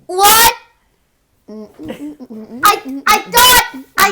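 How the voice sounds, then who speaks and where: The put-on character voice is squeaky and extremely high-pitched. It is shouting throughout. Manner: screaming, excited, incredulous.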